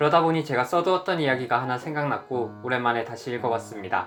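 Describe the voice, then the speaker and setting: Music sits in the background. The speech comes at a very fast pace with ordinary pitch variation. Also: man. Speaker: screenwriter. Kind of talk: casual talk to camera.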